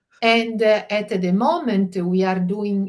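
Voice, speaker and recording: A woman speaks with an Italian accent. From Italy. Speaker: family mediator. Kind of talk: interview. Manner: halting, many fillers.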